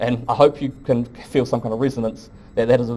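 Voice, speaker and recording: Very fast pace in a New Zealand accent with monotone, flat intonation. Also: man. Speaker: professor. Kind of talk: lecture. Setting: lecture hall with audience.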